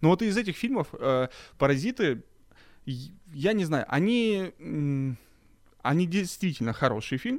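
A man's fairly high voice with very wide pitch swings, a very slow pace and long, frequent pauses, in a very clean recording with a silent background. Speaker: podcast host. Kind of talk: casual chat.

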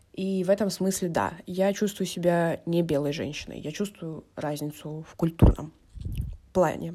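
Her voice has a dark, mellow tone as the woman talks at a fairly slow pace, in a fairly low pitch with fairly even intonation. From Russia, Vladikavkaz (North Ossetia), early years in Moscow. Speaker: podcast guest. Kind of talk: monologue.

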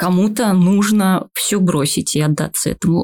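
A woman speaks at a moderate pace and a medium pitch, somewhat breathy. The sound is dry and close, with no echo. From Buryatia, Russia (Ulan-Ude). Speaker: playwright. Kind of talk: casual chat. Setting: studio.

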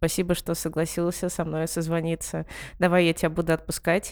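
On a very clean recording with a silent background, a woman speaks at a fairly quick pace in a monotone, flat intonation. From Ivanteyevka, Moscow region. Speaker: podcast host. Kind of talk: casual interview chat. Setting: call.

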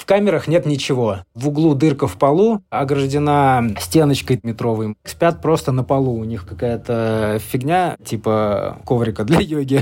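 At a fairly slow pace yet with hardly any pauses, a man speaks at a medium pitch with lively intonation and a dark, mellow tone. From Russia. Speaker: former prisoner. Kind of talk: interview.

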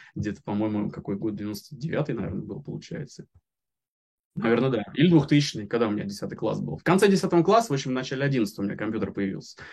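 Speaking at a very fast pace, a man with a medium-pitched voice uses lively intonation. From Moscow region, Russia. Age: 30s. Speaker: software developer. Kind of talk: interview. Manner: halting.

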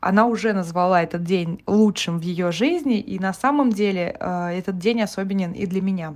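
Here is an ordinary speaking voice from a woman at medium pitch and a moderate pace. Her pitch varies in an ordinary way, with hardly any pauses. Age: 20s. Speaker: podcast host. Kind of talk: personal monologue podcast.

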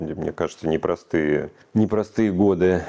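Here a man talks with a very deep, low pitch. His tone is dark and mellow. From Russia. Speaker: human rights activist. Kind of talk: interview.

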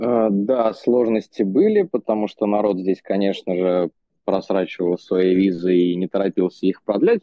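A man with an ordinary speaking voice talks at a moderate pace, his pitch fairly low and varying in an ordinary way. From Russia. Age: 20s. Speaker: expat in India. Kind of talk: interview. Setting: remote call.

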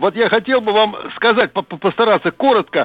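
A man speaks in a high voice at a moderate pace. His pitch varies in an ordinary way over noticeable background noise. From Russia, Moscow region. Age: 80s+. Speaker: radio caller. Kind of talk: phone-in storytelling.

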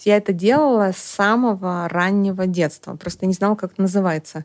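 A woman of medium pitch with fairly even intonation and an ordinary speaking voice. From Estonia. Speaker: psychologist. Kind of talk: casual chat.

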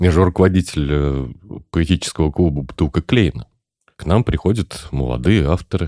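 At a moderate pace, a man speaks in a very deep, low, dark and mellow voice with vocal fry and ordinary pitch variation, the sound dry and close with no echo. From Tatarstan, Chistopol. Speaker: podcast host. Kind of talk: casual chat.

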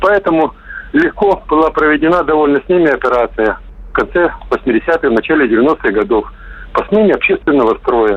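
Noticeable background noise sits behind the recording. A man speaks with very even loudness. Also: moderate pace. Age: 50s. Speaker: caller. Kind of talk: opinionated phone monologue. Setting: phone call.

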